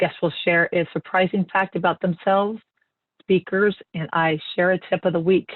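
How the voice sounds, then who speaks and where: A woman's flat, monotone delivery at a moderate pace. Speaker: podcast host and real estate executive. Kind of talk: podcast interview. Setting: podcast recording.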